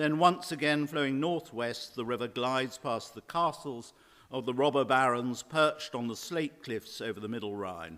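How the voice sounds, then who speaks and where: A man with a medium-pitched, bright and sharp voice talks at a moderate pace with lively intonation on a very clean recording with a silent background. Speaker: lecturer. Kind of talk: lecture. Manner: loud.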